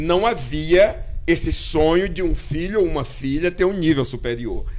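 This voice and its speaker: This man has a high voice and ordinary pitch variation. He talks at a fairly slow pace over noticeable background noise. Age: 60s. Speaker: artist. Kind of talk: casual chat. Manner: halting.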